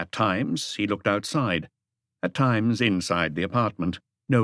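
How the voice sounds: Against a quiet background, the speaker uses a natural reading voice.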